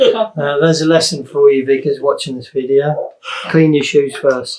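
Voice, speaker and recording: An unremarkable speaking voice from a man, fairly high-pitched with fairly even intonation at a moderate pace. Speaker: interviewer. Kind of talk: casual interview questions.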